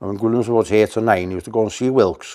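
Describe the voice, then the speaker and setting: Speaking very fast with a North Welsh accent, a man uses a medium pitch and a dark, mellow tone. His pitch varies in an ordinary way, against a quiet background. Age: 70s. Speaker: museum owner and mechanic. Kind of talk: casual interview.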